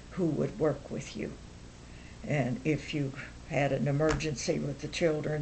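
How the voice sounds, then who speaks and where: A woman speaks with very deep, low pitch and vocal fry. Her pace is moderate and her intonation fairly even. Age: 70s. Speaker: grandmother being interviewed. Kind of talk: interview answer.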